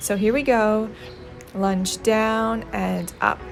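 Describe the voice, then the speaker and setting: With music in the background, a woman speaks in an upbeat tone. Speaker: fitness instructor. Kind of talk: guided workout voice-over. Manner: encouraging, upbeat, instructional.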